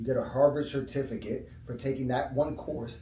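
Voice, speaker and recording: At a moderate pace, a man's voice carries audible room echo. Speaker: chiropractor. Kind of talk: casual talk. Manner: conversational, filler-heavy.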